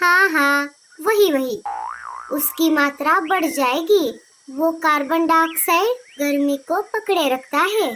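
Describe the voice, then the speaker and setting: A cartoonish character voice, female-sounding and extremely high-pitched, over sound effects in the background. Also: fairly slow pace. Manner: knowing, lecturing.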